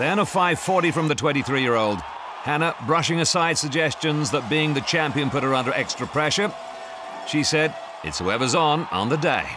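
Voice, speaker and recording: An excited, energetic man speaks at a fairly high pitch with ordinary pitch variation. Noticeable background noise can be heard. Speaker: sports commentator. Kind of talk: sports commentary recap, scripted narration. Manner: brisk, energetic, clipped; excited, building to a climax.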